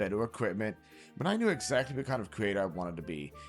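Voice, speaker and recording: Music plays under a man whose pitch swings very widely as he talks. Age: 30s. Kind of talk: casual talk to camera.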